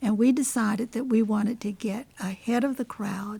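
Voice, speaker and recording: Somewhat breathy, a woman with an American accent talks at a moderate pace in a fairly high pitch, her intonation fairly even. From Washington, DC. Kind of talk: oral history interview answer.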